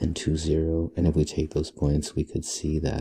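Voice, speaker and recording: A soft-spoken man, very deep and low in pitch, with a dark, mellow tone and a somewhat breathy sound. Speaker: math teacher. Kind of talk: tutorial. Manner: soft-spoken, talking low.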